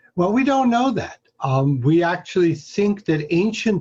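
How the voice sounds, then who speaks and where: A man with lively intonation speaks at a fairly slow pace in a somewhat breathy voice. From Hungary, moved to US at 11. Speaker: astronomy professor. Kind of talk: interview. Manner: hesitant, many fillers.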